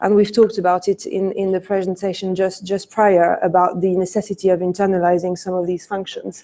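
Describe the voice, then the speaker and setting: A woman speaks in a French accent at a moderate pace. Her voice sits at medium pitch and has a dark, mellow tone. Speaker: conference speaker, e-commerce business leader. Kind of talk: conference presentation. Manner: hesitant, many fillers.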